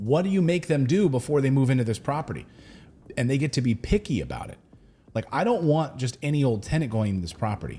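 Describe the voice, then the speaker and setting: Talking at a fairly quick pace, a man swings his pitch very widely in a somewhat breathy voice with a dark, mellow tone. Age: 40s. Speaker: real estate investing show host. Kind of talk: livestream show talk. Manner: casual, conversational.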